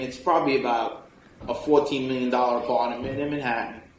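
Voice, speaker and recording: In a New York accent, a man of medium pitch speaks with fairly even intonation against noticeable background noise. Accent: New York City. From New York City. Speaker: electrician, business owner. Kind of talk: podcast interview answer. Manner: blunt, humorous.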